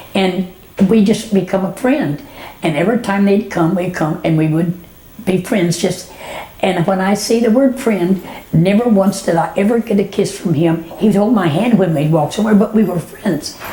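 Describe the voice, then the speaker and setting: A woman's medium-pitched voice at a moderate pace, with ordinary pitch variation, very even loudness and noticeable background noise. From Texas, Dallas area. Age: 90s. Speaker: elderly woman sharing memories. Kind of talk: oral history reminiscence. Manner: halting, with repetitions.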